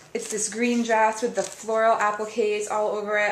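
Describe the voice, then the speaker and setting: A woman with a fairly high voice speaks over noticeable background noise, and the room echo is audible. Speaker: wedding planner vlogger. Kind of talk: casual product review vlog. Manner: fast; animated.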